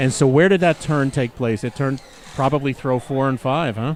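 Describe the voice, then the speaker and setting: Over noticeable background noise, a man with a medium pitch talks at a moderate pace with fairly even intonation. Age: 60s. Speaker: axe throwing commentator. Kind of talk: live commentary. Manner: halting.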